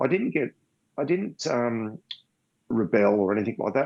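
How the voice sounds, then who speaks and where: The speaker has an Australian accent and a moderate pace. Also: man. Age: 60s. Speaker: blind triathlete. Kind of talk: interview.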